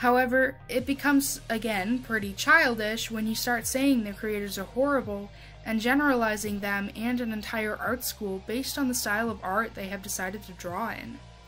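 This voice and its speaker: Over music in the background, a woman speaks at a moderate pace, fairly high in pitch, with ordinary pitch variation. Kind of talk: casual commentary to camera. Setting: home recording, uneven stereo. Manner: occasional stuttering.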